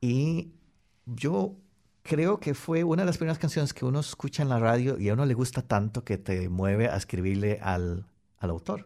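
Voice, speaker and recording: A man speaks at a medium pitch with a dark, mellow tone and very wide pitch swings. His pace is moderate, and the recording is very clean with a silent background. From Costa Rica. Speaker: software engineer. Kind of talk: radio interview. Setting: radio studio.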